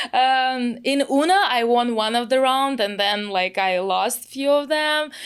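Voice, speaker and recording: A woman's high voice with a Russian accent, lively intonation and very even loudness. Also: fairly slow pace. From Russia, Moscow. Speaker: product manager. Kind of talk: casual interview. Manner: animated.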